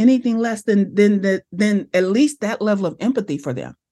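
Fairly quick and animated, a woman with an American accent speaks at a fairly high pitch with ordinary pitch variation, her voice somewhat breathy over a quiet background. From Los Angeles, US West Coast. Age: 50s. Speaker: brand strategist and business coach. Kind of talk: casual interview.

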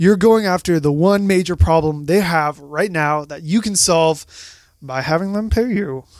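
Energetic in tone, a man with a high pitch and ordinary pitch variation talks at a moderate pace. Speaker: marketing guest expert. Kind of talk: casual chat. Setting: studio.

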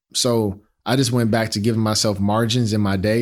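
A man with an American accent and a normal speaking voice talks at a medium pitch and moderate pace with fairly even intonation, in a very clean recording with a silent background. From Chicago, South Side. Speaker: design executive and startup founder. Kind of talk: interview. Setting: studio.

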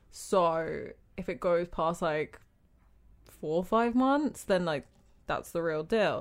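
Speaking very slowly with long, frequent pauses, a woman with a British accent uses lively intonation at a fairly low pitch on a very clean recording with a silent background. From Britain. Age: 20s. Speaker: event manager. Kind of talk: casual chat.

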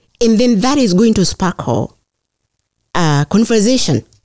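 Recorded with a dry, close sound and no echo, a woman with a Kenyan accent speaks in a dark, mellow tone. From rural Kenya. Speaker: mayoral candidate and public health nurse. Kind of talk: interview. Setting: podcast studio.

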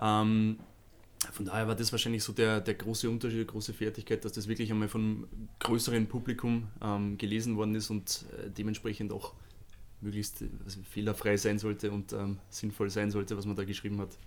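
The man has a fairly low voice. His intonation is monotone and flat. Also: fairly quick pace. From Lower Austria. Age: 30s. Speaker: social media agency manager for athletes. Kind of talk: podcast interview.

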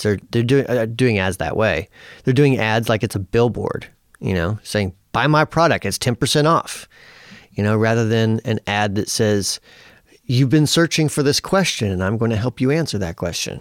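A man with a normal speaking voice and medium pitch talks at a moderate pace with lively intonation, in a dry, close sound with no echo on a very clean recording with a silent background. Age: 40s. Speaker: guitar pedal company founder. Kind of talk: interview.

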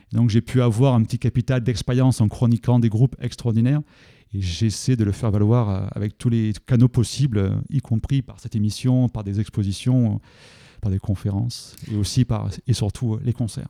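A man's dark, mellow tone at a moderate pace, fairly even in intonation, dry and close with no echo. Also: medium pitch for a man, very clean recording, silent background. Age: 40s. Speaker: event organiser and geography teacher. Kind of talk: radio interview.

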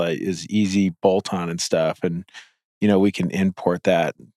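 A man with a normal speaking voice and an American accent, fairly low in pitch with fairly even intonation, in a dry, close sound with no echo on a very clean recording with a silent background. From US Midwest. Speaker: podcast host and company founder. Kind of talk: casual interview conversation.

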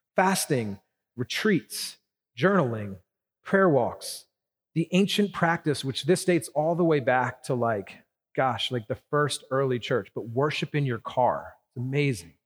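Fairly high in pitch, a man with a plain, everyday voice speaks at a fairly slow pace with lively intonation on a very clean recording with a silent background. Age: 40s. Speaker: pastor. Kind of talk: sermon.

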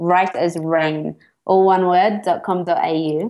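A woman is speaking. She has an Australian accent. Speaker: psychologist and therapist. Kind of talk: interview. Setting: remote call from Mexico.

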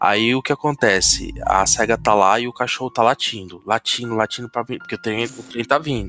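At a moderate pace, a man at medium pitch talks with fairly even intonation and a bright, sharp tone, in a dry, close sound with no echo. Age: 40s. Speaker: podcast host. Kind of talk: casual chat.

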